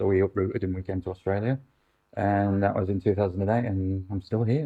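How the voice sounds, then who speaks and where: A man's fairly low voice with a British accent, at a very fast pace with fairly even intonation. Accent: UK. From UK. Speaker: actor and councillor, former police officer. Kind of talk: interview. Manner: halting, many fillers.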